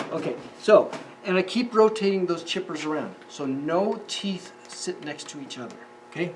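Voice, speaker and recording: Noticeable noise sits in the background. The talking goes at a moderate speed. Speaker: woodworking instructor. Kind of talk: tutorial. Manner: casual, halting with fillers.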